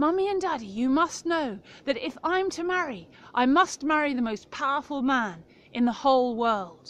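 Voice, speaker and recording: The speaker performs a put-on character voice, delivered at a moderate pace. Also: woman, high pitch for a woman. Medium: read story.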